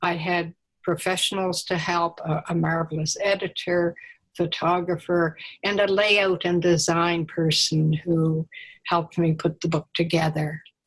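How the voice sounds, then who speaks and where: The voice is somewhat breathy and monotone, with flat intonation and a fairly slow pace. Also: woman. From Nova Scotia, Annapolis Valley. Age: 80s+. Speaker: author and painter. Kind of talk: interview. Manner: halting.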